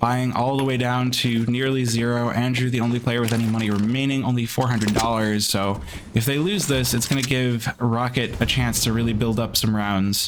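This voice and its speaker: A man speaks at medium pitch and a fairly quick pace, keeping his loudness very even. The room echo is audible, and there is noticeable background noise. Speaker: esports caster. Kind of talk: live commentary; casual chat. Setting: livestream.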